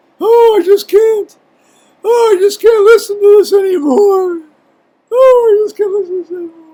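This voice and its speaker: In a put-on character voice, the speaker goes extremely high and squeaky at a moderate pace. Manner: whiny, exasperated.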